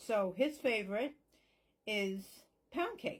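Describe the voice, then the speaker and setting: Lively intonation in a woman's fairly high-pitched, somewhat breathy voice. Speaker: psychic medium. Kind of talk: spell tutorial with prayer. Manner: whispering parts.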